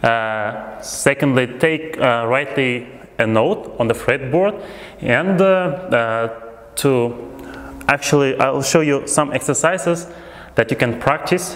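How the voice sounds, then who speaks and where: A man talks at a very slow pace with long, frequent pauses. His intonation is lively. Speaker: music teacher. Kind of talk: tutorial. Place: home room. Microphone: lapel.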